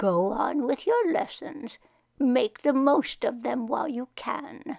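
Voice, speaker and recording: Putting on a character voice, a woman speaks high-pitched and fairly slowly, her intonation lively. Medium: read story. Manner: gentle, measured.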